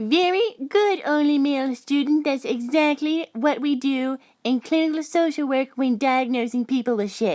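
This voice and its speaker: A female-sounding voice performs a put-on character voice at a high pitch. It moves at a moderate pace with hardly any pauses. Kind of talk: comic overacting. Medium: comedy sketch. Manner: sarcastic, lecturing.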